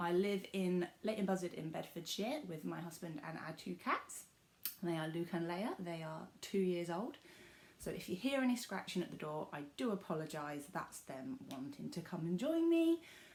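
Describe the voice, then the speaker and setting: A woman speaks with a southern English accent at a fairly low pitch. Her intonation is lively and her pace moderate. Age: 20s. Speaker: cross-stitch vlogger. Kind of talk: casual vlog talk.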